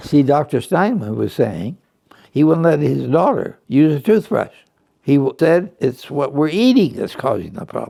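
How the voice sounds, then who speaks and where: The voice moves at a moderate pace with a dark, mellow tone and vocal fry. Its pitch swings very widely. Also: man, fairly high pitch for a man. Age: 80s+. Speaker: nutrition professor. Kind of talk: interview answer.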